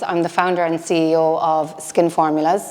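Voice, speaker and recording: A woman's voice in an Irish accent, with noticeable background noise. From Ireland. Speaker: business founder and CEO. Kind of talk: motivational talk. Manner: loud.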